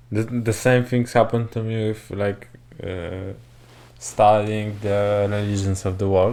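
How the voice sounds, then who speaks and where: With a non-native accent, a man speaks at a fairly slow pace in a medium pitch. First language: not English. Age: young. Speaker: podcast co-host. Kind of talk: casual chat. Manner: halting.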